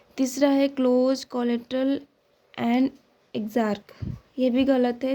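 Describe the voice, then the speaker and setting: Speech moves at a very slow pace. Its tone is dark and mellow. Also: woman. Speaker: biology tutor. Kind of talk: MCQ solution lecture. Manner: louder than usual.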